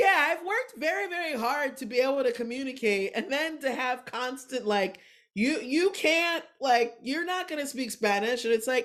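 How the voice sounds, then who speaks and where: Her pitch high and her intonation lively, a woman speaks in an animated tone at a moderate pace with hardly any pauses. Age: 40s. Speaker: comedian. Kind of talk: casual chat.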